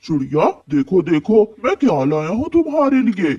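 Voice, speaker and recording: In a cartoonish character voice, a man speaks fairly slowly at a high pitch with very wide pitch swings, the sound dry and close with no echo. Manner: warm, friendly.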